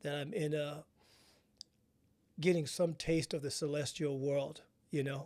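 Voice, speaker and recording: The voice has a dark, mellow tone and fairly even intonation at a moderate pace. The recording is very clean, with a silent background. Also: man. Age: 60s. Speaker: podcast host. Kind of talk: interview. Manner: casual, conversational.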